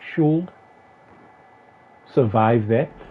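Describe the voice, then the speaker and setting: Noticeable background noise sits behind a man whose medium pitch shows ordinary variation. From South Africa. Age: 30s. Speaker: gaming streamer. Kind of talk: live gameplay stream chat. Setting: home gaming setup. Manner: casual, hesitant with fillers.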